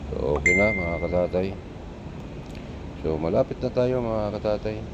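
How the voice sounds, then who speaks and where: A soft-spoken man talks at a moderate pace with a very deep, low pitch and lively intonation. Noticeable noise sits in the background. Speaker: driving vlogger. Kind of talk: casual vlog narration while driving. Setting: in a car with passengers.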